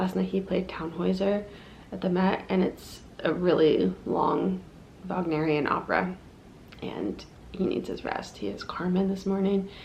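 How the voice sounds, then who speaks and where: A woman puts on a quiet, raspy character voice at medium pitch and a moderate pace, with light background noise behind her. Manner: quiet, hushed.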